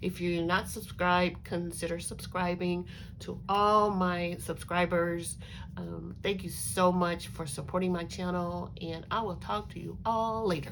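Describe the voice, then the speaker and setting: Against audible room echo, a woman talks at a fairly slow pace. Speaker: crafting YouTuber. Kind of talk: casual craft show-and-tell. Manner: hesitant, many fillers.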